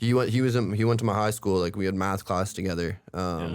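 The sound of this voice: Here a man talks at a fast pace with ordinary pitch variation. His low voice has a clear, smooth tone.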